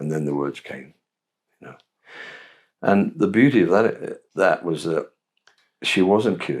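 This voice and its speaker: A man with a southern English accent speaks at a very deep, low pitch and a moderate pace. His pitch varies in an ordinary way on a very clean recording with a silent background. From England. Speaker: Episcopal priest. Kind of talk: interview answer.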